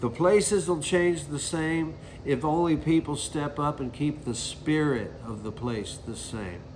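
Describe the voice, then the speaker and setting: Amid noticeable background noise and audible room echo, a man with a Southern US accent speaks at a fairly slow pace, his fairly high pitch carried by lively intonation. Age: 60s. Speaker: singer-songwriter. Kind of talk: interview monologue. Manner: casual, conversational.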